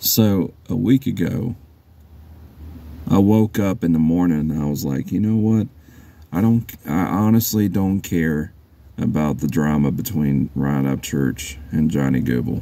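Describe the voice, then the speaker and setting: Soft-spoken and very deep, a man talks at a fairly slow pace with lively intonation and long, frequent pauses. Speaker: YouTuber commenting on online drama. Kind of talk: casual vlog monologue. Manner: halting, repeats words.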